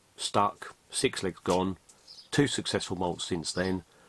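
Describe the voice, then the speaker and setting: The speaker talks at a very slow pace with an English accent. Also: man. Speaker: tarantula keeper vlogger. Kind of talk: casual vlog recap. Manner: hesitant, many ums.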